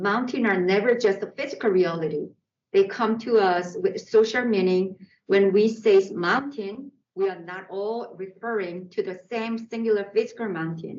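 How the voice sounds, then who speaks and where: The speaker uses ordinary pitch variation in a Korean accent. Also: woman, medium pitch for a woman, moderate pace. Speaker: artist. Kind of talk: artist talk. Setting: art center exhibition.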